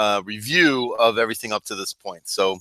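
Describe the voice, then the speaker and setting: A man with a bright, sharp tone speaks at a moderate pace. The sound is dry and close with no echo, in a very clean recording with a silent background. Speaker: Bible study teacher. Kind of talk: Bible study class. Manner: casual, halting with fillers.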